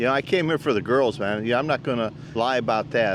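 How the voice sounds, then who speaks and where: Noticeable background noise runs under the recording. A man with an American accent speaks with ordinary pitch variation. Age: 70s. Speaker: retired expat YouTuber. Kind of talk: casual interview. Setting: outdoors in the sun. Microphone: shared mic, mic issues.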